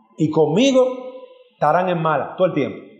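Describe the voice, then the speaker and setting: A man with very wide pitch swings at a very slow pace, amid audible room echo. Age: 40s. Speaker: pastor. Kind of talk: sermon. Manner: animated.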